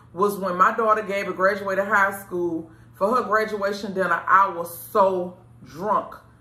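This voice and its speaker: A woman at a fairly slow pace amid audible room echo. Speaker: show host giving advice. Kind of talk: casual advice talk to camera. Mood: earnest, reflective. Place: studio.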